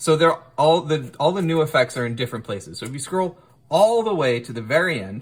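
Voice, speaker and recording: A man talks at a fairly high pitch and moderate pace. His tone is animated and his intonation lively. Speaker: music gear youtuber. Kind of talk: tutorial.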